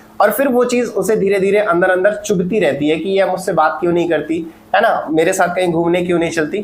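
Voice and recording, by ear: A man talks at a fairly quick pace in a high pitch with ordinary pitch variation. Audible room echo surrounds his voice.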